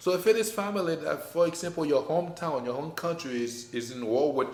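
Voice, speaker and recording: Lively intonation marks a man's fairly high-pitched voice, heard with audible room echo. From Haiti. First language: French or Haitian Creole. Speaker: business owner. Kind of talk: casual chat.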